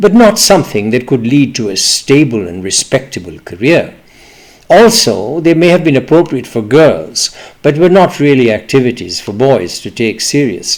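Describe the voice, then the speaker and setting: Fairly high male voice, vocal fry, very wide pitch swings, moderate tempo. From East Pakistan (now Bangladesh). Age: 70s. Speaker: memoir storyteller. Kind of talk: personal memoir reading.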